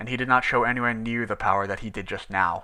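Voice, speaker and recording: Someone performs a put-on character voice. The delivery is very fast, with fairly even intonation. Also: man. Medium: read story. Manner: formal, cold.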